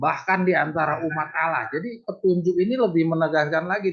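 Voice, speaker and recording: A man delivers his words very fast, with lively intonation. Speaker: Bible study teacher. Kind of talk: Bible study lesson over Zoom. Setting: video call.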